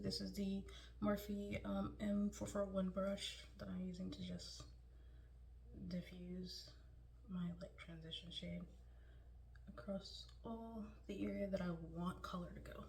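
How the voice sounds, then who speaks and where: A soft-spoken woman talks at a fairly slow pace with long, frequent pauses, amid noticeable background noise and audible room echo. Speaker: beauty vlogger. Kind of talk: makeup tutorial. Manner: casual, filler-heavy.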